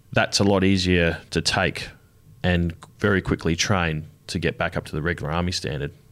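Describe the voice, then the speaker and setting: Very deep and low-pitched, a man with an Australian accent speaks at a moderate pace with fairly even intonation on a very clean recording with a silent background. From Adelaide, South Australia. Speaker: army veteran and art student. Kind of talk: interview. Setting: studio.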